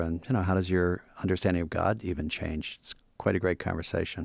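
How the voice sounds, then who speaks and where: On a very clean recording with a silent background, a man with a very deep, low pitch talks at a fairly quick pace in a monotone, flat intonation. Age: 60s. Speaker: Jesuit priest and podcast host. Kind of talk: casual chat.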